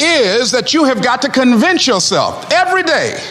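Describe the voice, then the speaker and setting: A man speaks in a raised, projected voice with an energetic tone. Noticeable background noise runs underneath. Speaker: motivational speaker. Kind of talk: motivational speech to a live audience. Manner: energetic, emphatic, humorous.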